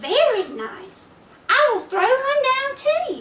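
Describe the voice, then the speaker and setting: Using a put-on character voice, a woman speaks fairly slowly in a squeaky, extremely high pitch. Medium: read story.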